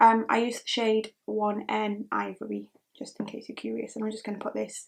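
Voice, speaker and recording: Speaking at a moderate pace, a woman with a slight Geordie accent has a fairly high, somewhat breathy voice. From northern England, Newcastle. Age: 20s. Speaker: beauty vlogger. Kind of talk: chatty get-ready-with-me talk. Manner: casual, lots of fillers.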